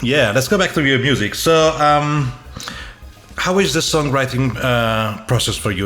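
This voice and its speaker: In a room with audible echo and noticeable background noise, a man with an Italian accent speaks with lively intonation. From Italy. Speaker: podcast host. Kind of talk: casual interview.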